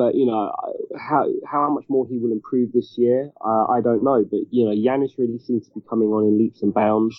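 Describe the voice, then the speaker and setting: In a British accent, a man at a medium pitch speaks with fairly even intonation and very even loudness. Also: moderate pace. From UK. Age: 30s. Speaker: basketball journalist. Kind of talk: casual interview chat.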